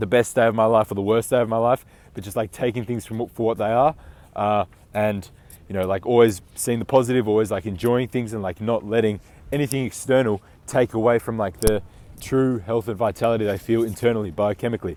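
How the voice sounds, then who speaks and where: Fairly even intonation carries a fairly quick delivery. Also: man. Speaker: self-improvement coach. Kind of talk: motivational talk to camera. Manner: casual, many fillers like 'like' and 'uh'.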